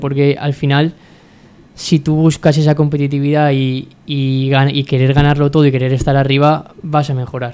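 Monotone and flat, a man's fairly high voice with a dark, mellow tone moves at a moderate pace. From Valencia region, Spain (Puerto de Sagunto). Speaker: football fitness coach. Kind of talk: radio interview. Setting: radio studio.

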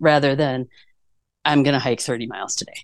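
A woman is speaking. She has an American accent. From US Midwest, Chicago suburbs. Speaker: trail designer. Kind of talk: casual interview. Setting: in a van.

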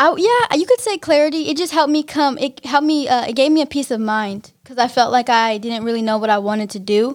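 A plain, everyday voice from a woman with an American accent, fairly quick pace and ordinary pitch variation, on a very clean recording with a silent background. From Pittsburgh, California (Bay Area). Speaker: songwriter, poet and podcast co-host. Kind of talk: casual chat.

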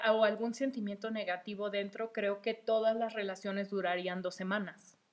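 Her medium pitch holds fairly even intonation as the woman speaks. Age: 20s. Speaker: podcast host. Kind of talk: casual monologue. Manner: hesitant, many fillers.

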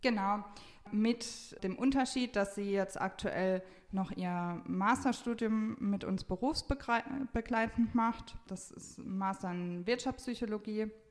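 Her voice is fairly high and very slow. This woman's loudness swings widely. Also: ordinary pitch variation. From Palatinate, Germany. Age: 20s. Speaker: family business manager. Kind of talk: interview. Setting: studio.

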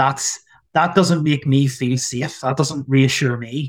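Somewhat breathy, a man with a Northern Irish accent talks at a moderate pace with fairly even intonation. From Northern Ireland. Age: 30s. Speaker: doctor in geriatrics. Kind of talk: conversational interview.

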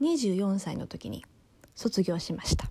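Speech from this woman comes very slowly. Her tone is dark and mellow. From Japan. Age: 20s. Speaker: solo podcaster. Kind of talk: casual monologue. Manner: casual, chatty.

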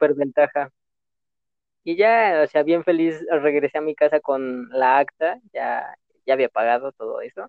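A man uses a normal speaking voice, pitched fairly high and varying in an ordinary way. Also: fairly slow pace. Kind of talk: casual chat.

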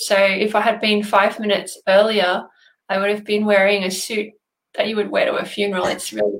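A woman speaks at a medium pitch with an Australian accent. Her intonation stays fairly even. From Australia, Sydney area (New South Wales). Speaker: numerologist. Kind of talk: interview. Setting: video call.

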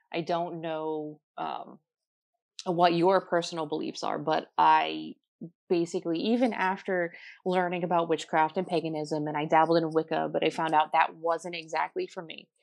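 With an American accent and a normal speaking voice, a woman at a fairly low pitch talks at a moderate pace with fairly even intonation against a quiet background. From New Jersey. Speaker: tarot reader and ghost tour guide. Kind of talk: interview.

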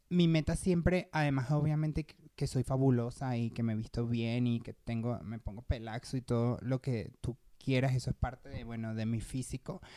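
With a very deep, low pitch and a dark, mellow tone, a woman speaks at a moderate pace with ordinary pitch variation, big swings in loudness and hardly any pauses. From Venezuela, Petare (Caracas). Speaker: singer. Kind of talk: casual chat.

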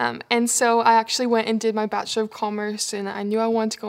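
On a very clean recording with a silent background, a woman with a Canadian accent speaks very fast at a fairly high pitch in a monotone, flat intonation. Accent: Canadian, noticeable. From Canada. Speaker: people and culture coordinator. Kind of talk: casual interview.

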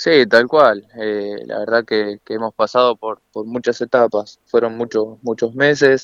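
A man with a medium pitch talks at a fairly slow pace with hardly any pauses and fairly even intonation, in a dry, close sound with no echo. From Argentina, Buenos Aires area (Solano). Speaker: professional footballer. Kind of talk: radio interview. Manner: halting, repeats words.

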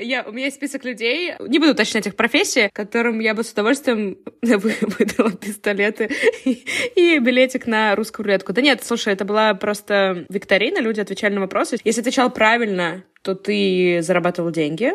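This woman has an ordinary speaking voice, fairly high in pitch, with lively intonation and a fairly quick pace. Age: 20s. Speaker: podcast co-host. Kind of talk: casual chat.

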